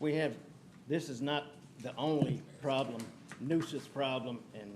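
In a medium pitch with ordinary pitch variation, a man speaks with audible room echo. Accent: Louisiana. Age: 70s. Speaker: homeowners association board member. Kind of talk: public comment at council meeting. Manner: halting.

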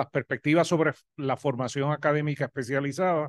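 A man with a Puerto Rican accent talks at a moderate pace in a fairly high pitch. The background is quiet. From Puerto Rico. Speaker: professor of health education. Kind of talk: academic presentation. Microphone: video call.

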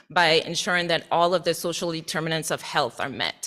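Here a woman speaks with an American accent, her pitch fairly low and her tone bright and sharp. The recording is very clean, with a silent background. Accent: slight Caribbean accent with some Southern. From US Virgin Islands, Saint Thomas. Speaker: associate professor. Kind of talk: presentation to board. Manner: formal.

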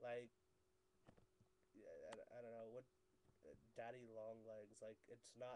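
This man speaks at a fairly slow pace with an American accent. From northeastern Pennsylvania, USA. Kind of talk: casual talk to camera. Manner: hesitant, rambling.

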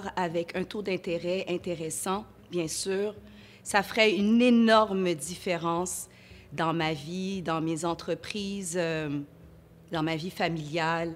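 Long pauses come often as a woman talks at a very slow pace. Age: 40s. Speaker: entrepreneur; interviewee. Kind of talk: interview testimony. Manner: halting. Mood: earnest, sometimes smiling. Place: studio. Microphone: lapel.

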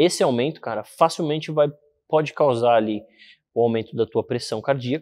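The man keeps a moderate pace. His pitch shows ordinary variation. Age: 20s. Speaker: fitness and hormone specialist; interview guest. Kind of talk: casual interview. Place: gym.

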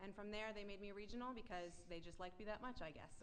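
A woman speaks in a New Jersey accent at medium pitch, with fairly even intonation. Audible room echo and noticeable background noise accompany her. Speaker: facilities regional manager. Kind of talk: presentation at board meeting. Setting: auditorium meeting.

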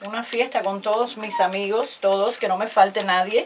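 The pace is fairly slow. There is light background noise. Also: woman. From Cuba. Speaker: radio announcer. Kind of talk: interview answer. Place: studio.

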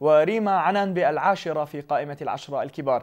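A man with a fairly high pitch talks at a moderate pace in a normal speaking voice. His intonation stays fairly even against a quiet background. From Jordan. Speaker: sports news presenter; news presenter. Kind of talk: news reading. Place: studio. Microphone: lapel.

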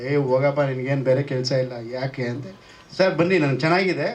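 Noticeable background noise accompanies a man speaking in a fairly high pitch. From Coorg, Karnataka. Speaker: actor. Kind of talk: speech at a press event. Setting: film teaser launch event.

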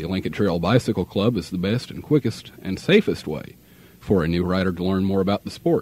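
Speaking at a fairly quick pace, a man with very deep, low pitch and ordinary pitch variation is heard in a dry sound with no echo. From Midwestern US. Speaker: radio announcer. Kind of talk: radio DJ air check. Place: studio. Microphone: old recording.

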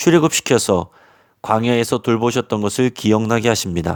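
Heard dry and close with no echo, a man with an unremarkable speaking voice talks at a moderate pace and ordinary pitch variation. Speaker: pastor. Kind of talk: sermon.

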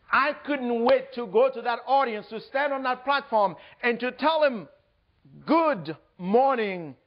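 A man in a Haitian accent, extremely high-pitched, animated in tone and lively in intonation, at a fairly slow pace over a quiet background. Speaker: motivational speaker. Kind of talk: keynote speech. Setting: stage with audience. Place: hall.

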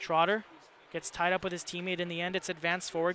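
A very fast pace, dry sound with no echo, and light background noise. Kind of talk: live sports commentary. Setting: broadcast of a hockey game. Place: stadium. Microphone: headset.

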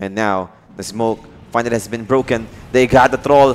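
In an animated tone, a man speaks at a medium pitch. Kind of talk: esports commentary. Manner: animated, fast play-by-play, mixing English and Tagalog.

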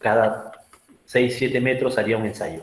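The man's voice is somewhat breathy, with fairly even intonation. He goes at a fairly slow pace amid audible room echo. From Peru, Áncash highlands; Peru. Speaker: geologist, rock mechanics engineer; webinar presenter. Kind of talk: lecture; Q&A answers. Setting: video call. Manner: halting. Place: home room.

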